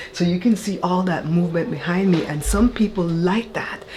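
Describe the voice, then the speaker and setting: A woman speaks fairly quickly with ordinary pitch variation over noticeable background noise. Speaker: YouTuber giving content creation tips. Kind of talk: tutorial. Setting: home office. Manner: casual.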